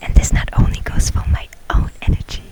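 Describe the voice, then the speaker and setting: Over noticeable background noise, a woman whispers, keeping a moderate pace. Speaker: ASMR creator. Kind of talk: ASMR personal story, confiding talk to camera. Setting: outdoors, near a restaurant with background crowd noise. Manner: warm, calm, reassuring.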